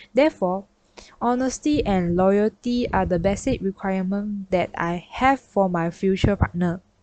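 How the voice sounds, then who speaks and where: In a dry, close sound with no echo, a woman with a dark, mellow tone talks at a moderate pace, medium pitch and ordinary pitch variation. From Malaysia, Johor. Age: 20s. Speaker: university student. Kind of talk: class presentation video. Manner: formal. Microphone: broken mic, poor quality.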